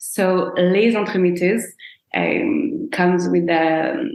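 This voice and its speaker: Very slowly and with lively intonation, a woman with a French accent speaks at a medium pitch amid audible room echo. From France, Brittany. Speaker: proposal planner, business owner. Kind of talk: podcast interview.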